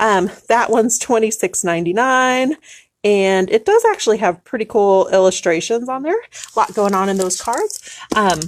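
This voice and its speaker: A woman talks at a fairly high pitch. It is an ordinary speaking voice. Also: ordinary pitch variation, moderate pace. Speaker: shop owner selling tarot decks. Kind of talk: live shopping stream. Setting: live Facebook video in shop.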